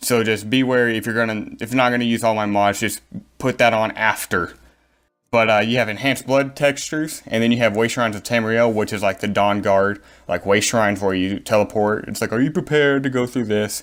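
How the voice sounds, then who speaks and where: In a very clean recording with a silent background, a man at medium pitch talks at a fairly quick pace with fairly even intonation. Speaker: gaming YouTuber. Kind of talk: gaming tutorial. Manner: fast; casual, filler-heavy.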